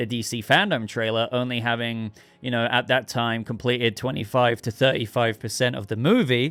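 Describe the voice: Putting on a hoarse character voice, a man at a medium pitch talks at a fairly quick pace with fairly even intonation.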